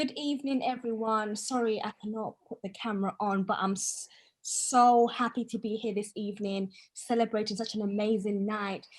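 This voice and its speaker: Her voice is fairly high and somewhat breathy, with fairly even intonation. The woman keeps a moderate pace. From Tanzania. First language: Swahili. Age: 20s. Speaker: poet and author. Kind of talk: short speech at an online event. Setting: video call, camera off.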